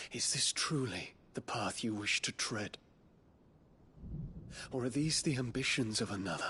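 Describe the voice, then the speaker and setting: A man uses a put-on character voice at a medium pitch. He leaves long, frequent pauses. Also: moderate pace. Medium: video game. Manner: formal, earnest.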